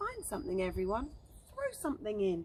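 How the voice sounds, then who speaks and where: A put-on character voice sits at a fairly high pitch and moves at a fairly quick pace. Clear background noise runs behind it. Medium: read story.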